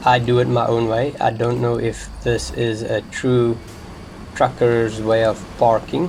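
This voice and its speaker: Noticeable background noise runs under a man's medium-pitched voice with a non-native accent. He speaks at a fairly slow pace with fairly even intonation. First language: not English. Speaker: gaming youtuber. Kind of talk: gameplay commentary. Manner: unscripted, rambling.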